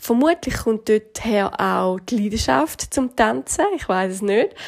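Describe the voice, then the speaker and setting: A woman with a Swiss accent speaks at a fairly high pitch. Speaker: fitness trainer and nutrition coach. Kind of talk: podcast monologue.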